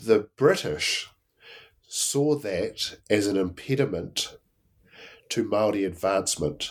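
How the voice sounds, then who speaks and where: In a New Zealand accent, a man with a fairly low voice talks very slowly with lively intonation and long, frequent pauses. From New Zealand, Blenheim. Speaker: Māori history lecturer and author. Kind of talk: interview. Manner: halting, many fillers.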